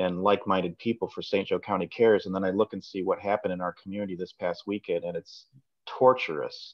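Over a quiet background, a man with a fairly low pitch speaks at a fairly quick pace. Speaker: community panelist; panelist. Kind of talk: panel discussion. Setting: video call. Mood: thoughtful, concerned. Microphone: video call.

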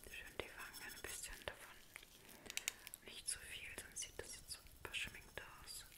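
Whispering and soft-spoken, this voice moves at a fairly slow pace. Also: woman. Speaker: makeup role-play host. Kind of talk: soft-spoken makeup role-play. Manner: soft close German whisper. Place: home room. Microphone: phone near.

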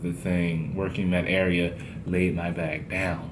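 Noticeable background noise sits behind a man who speaks at a fairly slow pace with a very deep, low pitch. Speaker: travel vlogger. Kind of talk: casual vlog chat. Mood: amused storytelling. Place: home room. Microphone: phone near.

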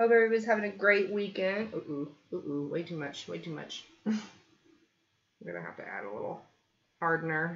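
A woman with a fairly low voice talks at a fairly quick pace, her loudness swinging widely. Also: ordinary pitch variation. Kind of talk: live stream tutorial chat. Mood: cheerful, laughing. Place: home room.

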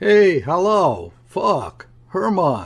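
A man's put-on character voice, high-pitched with vocal fry and a slightly husky edge, very slow, with very wide pitch swings

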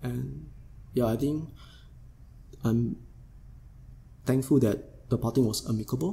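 A man speaks with a dark, mellow tone and a somewhat breathy quality. His pitch is medium, with ordinary variation. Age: 40s. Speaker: yoga teacher. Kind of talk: casual interview conversation.

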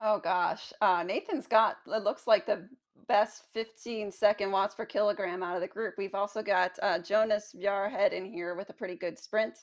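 A woman's plain, everyday voice of medium pitch, at a moderate pace with hardly any pauses and ordinary pitch variation. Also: very clean recording, silent background. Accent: American. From Charlotte, North Carolina. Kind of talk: excited race call. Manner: excited, shouting.

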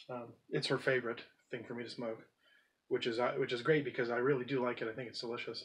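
Fairly quick in pace, a man talks with fairly even intonation. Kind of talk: casual vlog chat. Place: home room.

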